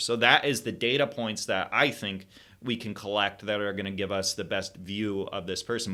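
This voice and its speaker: A man speaks with a Michigan accent at a fairly low pitch. His tone is bright and sharp. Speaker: health educator. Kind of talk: lecture with slides. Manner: halting with fillers and self-corrections.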